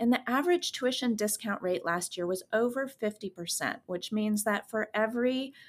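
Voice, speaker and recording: Speaking with an American accent, a woman talks at a fairly slow pace with lively intonation on a very clean recording with a silent background. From California, San Francisco Bay Area. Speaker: financial planner. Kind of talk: interview.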